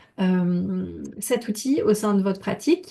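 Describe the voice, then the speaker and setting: A woman's dark, mellow tone. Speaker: body painting trainer. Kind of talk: informational presentation to camera. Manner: hesitant with many fillers.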